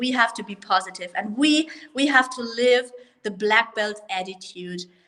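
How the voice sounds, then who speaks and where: Fairly high pitch from a woman with a German accent, at a fairly slow pace with ordinary pitch variation. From Germany. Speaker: martial arts school owner. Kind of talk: online show interview.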